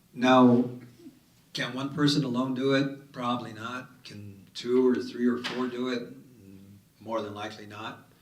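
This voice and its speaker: A man with a medium pitch speaks at a fairly slow pace, his loudness swinging widely. Noticeable background noise and audible room echo fill the recording. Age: 70s. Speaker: city councilor on a panel. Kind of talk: panel discussion. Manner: animated.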